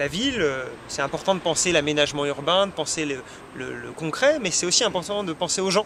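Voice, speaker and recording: Noticeable background noise sits behind the voice. A man speaks with lively intonation at a fairly quick pace. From France, Chartres (Eure-et-Loir). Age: 30s. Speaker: politician, parliamentary candidate. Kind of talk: interview. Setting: web TV interview. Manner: frequent hesitations (euh).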